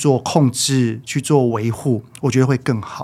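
A man with a plain, everyday voice talks at a fairly slow pace and medium pitch, his intonation fairly even. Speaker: parenting educator. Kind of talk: casual interview chat.

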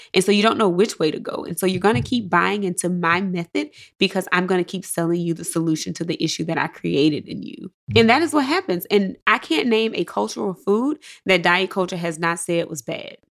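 A woman with a Mississippi accent talks at a fairly quick pace in a medium pitch. Her intonation is lively, and the recording is very clean with a silent background. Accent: Southern US (Mississippi). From US South, Jackson, Mississippi. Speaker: psychologist. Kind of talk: interview.

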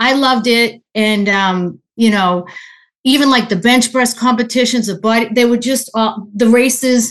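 A woman talks at a moderate pace in a fairly high pitch, with fairly even intonation. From Boston area. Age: 60s. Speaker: endurance athlete and listener caller. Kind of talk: casual Q&A conversation. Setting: video call.

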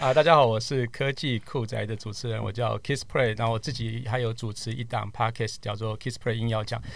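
There is vocal fry in this man's medium-pitched voice, and his intonation stays fairly even. He moves at a fairly quick pace with hardly any pauses. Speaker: tech podcaster and media worker. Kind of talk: casual chat.

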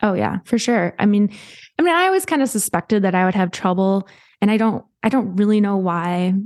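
With a dry, close sound that has no echo and a quiet background, a woman with an American accent and a plain, everyday voice speaks at a fairly quick pace, medium in pitch, with ordinary pitch variation and very even loudness. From US Midwest. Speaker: singer-songwriter sharing infertility story. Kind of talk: casual interview, personal story.

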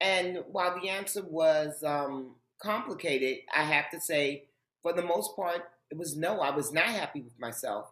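An unremarkable speaking voice, a woman with an American accent, fairly low pitch and ordinary pitch variation. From Harlem, New York City. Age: 50s. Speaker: author and TV host. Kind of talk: interview.

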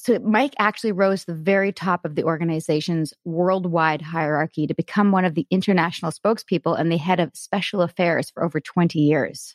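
In an ordinary speaking voice, a woman talks at a fairly quick pace with a fairly low pitch, ordinary pitch variation and hardly any pauses. The sound is dry and close, with no echo. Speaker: podcast host. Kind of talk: casual interview chat.

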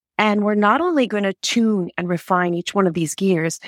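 Speaking very fast at a medium pitch, a woman with an American accent comes through on a very clean recording over a silent background. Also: dry, close sound with no echo. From US Northeast, Connecticut. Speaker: health and wellness coach. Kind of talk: interview.

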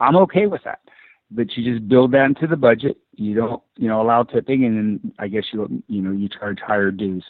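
A man talks at a fairly quick pace in an unremarkable speaking voice. His pitch is medium, with ordinary variation. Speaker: club management consultant. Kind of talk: casual interview.

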